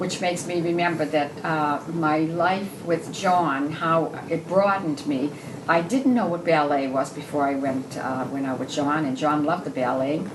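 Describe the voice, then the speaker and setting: The speech runs on with hardly any pauses. Room echo is audible, and background noise is noticeable. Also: woman, very deep, low pitch for a woman, ordinary pitch variation, moderate pace. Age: 70s. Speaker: widow. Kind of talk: casual chat. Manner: halting.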